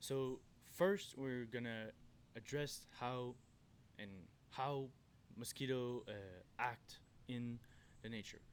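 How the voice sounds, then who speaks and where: Speaking in a Quebec accent, a man talks at a very slow pace and medium pitch with fairly even intonation. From Quebec, Canada. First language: French. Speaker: forest worker and backpacker. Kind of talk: outdoor tutorial. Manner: halting, self-correcting.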